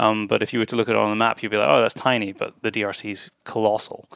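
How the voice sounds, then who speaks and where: In a very clean recording with a silent background, a man with a Scottish accent speaks at a very fast pace in a monotone, flat intonation. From Scotland. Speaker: podcast host. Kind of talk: interview. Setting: hotel room.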